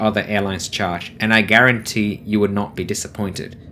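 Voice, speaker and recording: The talking proceeds at a moderate rate. Behind it, background noise is noticeable. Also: man. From Vietnamese background, living in Australia. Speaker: travel vlogger. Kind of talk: travel vlog review. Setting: on board an aircraft landing. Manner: enthusiastic.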